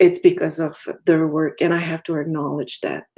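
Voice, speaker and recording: A woman with a slight French accent. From Quebec, Innu and Quebecois parents. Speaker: activist and commissioner. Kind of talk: keynote lecture. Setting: virtual lecture. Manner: halting.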